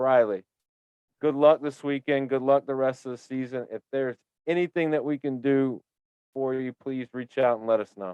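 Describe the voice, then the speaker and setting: This is an ordinary speaking voice from a man at a medium pitch. He keeps a moderate pace and fairly even intonation. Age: 30s. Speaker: podcast host. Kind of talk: casual interview chat.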